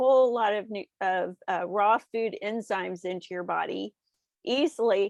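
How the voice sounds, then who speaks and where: In an American accent, a woman with a plain, everyday voice speaks at a fairly slow pace and a fairly high pitch, with ordinary pitch variation. The sound is dry and close with no echo, and the background is quiet. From Texas. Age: 60s. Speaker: nutritionist and author. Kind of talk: interview.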